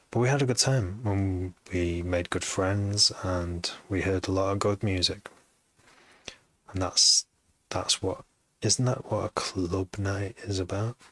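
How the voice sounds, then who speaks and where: A man's somewhat breathy, fairly low voice, fairly slow and even in intonation, with long, frequent pauses and a dry, close sound with no echo. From Manchester, northern England. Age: 40s. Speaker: music producer and DJ. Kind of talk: live stream chat. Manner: halting.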